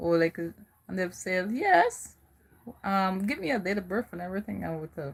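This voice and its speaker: A woman's medium-pitched, somewhat breathy voice at a moderate pace. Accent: American. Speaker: live streamer. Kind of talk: casual live-stream chat. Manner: animated.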